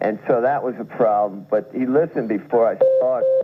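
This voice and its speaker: In an American accent, a man with an unremarkable speaking voice talks at a moderate pace and medium pitch, his intonation lively. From New York. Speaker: writer, poet and musician. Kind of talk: radio interview answer. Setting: radio studio.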